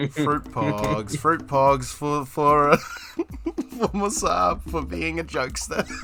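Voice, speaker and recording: Against noticeable background noise, a man talks at a very slow pace with hardly any pauses. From New Zealand. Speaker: streamer. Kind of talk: casual chat. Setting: live stream with voice chat.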